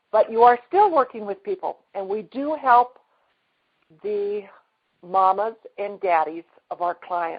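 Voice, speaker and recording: A woman at a medium pitch and a fairly slow pace. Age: 60s. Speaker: energy healing practitioner. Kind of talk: testimony.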